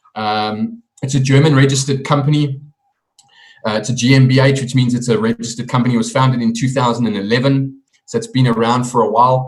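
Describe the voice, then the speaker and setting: A man speaks very fast at a medium pitch, somewhat breathy. His intonation is flat and monotone. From South Africa. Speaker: network marketing presenter. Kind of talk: sales pitch.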